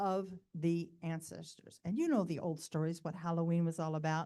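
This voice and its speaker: A woman's dark, mellow tone at a fairly low pitch. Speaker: spiritual teacher. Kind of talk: conference presentation.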